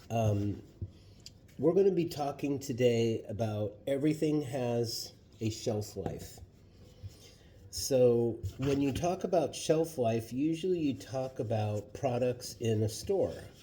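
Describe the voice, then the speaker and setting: Speaking at a very slow pace, a man's somewhat breathy voice carries a dark, mellow tone at medium pitch with lively intonation. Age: 60s. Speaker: vlogger. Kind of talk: cooking tutorial. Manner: casual, hesitant with fillers.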